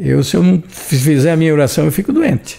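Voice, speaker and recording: A man's high-pitched voice with a dark, mellow tone at a moderate pace. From São Paulo state, Brazil. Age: 80s+. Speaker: retired shop owner. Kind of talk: podcast interview. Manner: animated.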